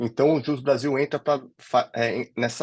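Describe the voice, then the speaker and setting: Intonation stays fairly even at a fairly quick pace. The sound is dry and close, without echo. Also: man. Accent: São Paulo. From São Paulo, Brazil. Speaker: legal director of a legal tech company. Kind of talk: interview conversation.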